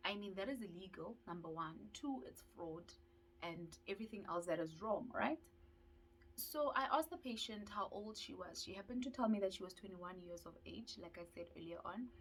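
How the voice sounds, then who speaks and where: A woman speaks at a medium pitch with a somewhat breathy voice and a fairly quick pace. Her intonation is lively, and her loudness swings widely. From South Africa. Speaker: dental student YouTuber. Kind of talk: vlog storytelling.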